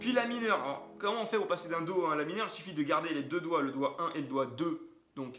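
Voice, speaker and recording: A man's high voice at a very fast pace with lively intonation, amid noticeable background noise and audible room echo. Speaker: guitar teacher. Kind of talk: tutorial.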